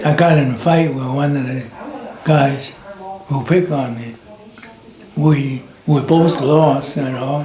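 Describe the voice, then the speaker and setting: Amid noticeable background noise, a man with a fairly high pitch talks at a fairly slow pace with fairly even intonation and long, frequent pauses. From China. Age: 80s+. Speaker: war veteran. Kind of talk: interview answer.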